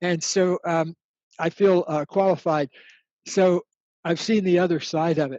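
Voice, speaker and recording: The speaker pauses long and often. The pace is fairly slow, with fairly even intonation. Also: man, high pitch for a man. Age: 70s. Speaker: author and relationship expert. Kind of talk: interview answering student questions.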